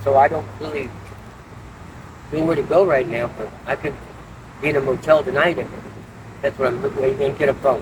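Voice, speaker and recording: A man's fairly high voice at a fairly quick pace, ordinary pitch variation, long and frequent pauses, and noticeable background noise. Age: 60s. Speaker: homeless man in recovery interview. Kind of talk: street interview. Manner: halting.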